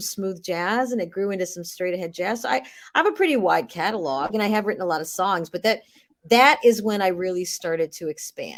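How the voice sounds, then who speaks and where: With a Midwestern American accent, a woman of medium pitch speaks at a fairly quick pace and with lively intonation. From Cleveland, Ohio. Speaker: jazz vocalist and voice over artist. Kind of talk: interview answer.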